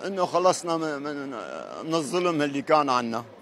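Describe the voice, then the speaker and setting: A man with a Syrian accent speaks in a fairly high pitch with fairly even intonation. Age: 70s. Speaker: pilgrim. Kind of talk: street interview. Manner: emotional.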